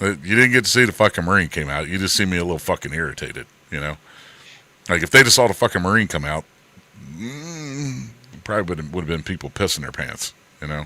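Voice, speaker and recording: A man with a very deep, low pitch talks at a very fast pace in a bright, sharp tone, with long, frequent pauses. His delivery has very wide pitch swings and big swings in loudness. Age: 60s. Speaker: stream co-host, former Marine. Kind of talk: casual chat.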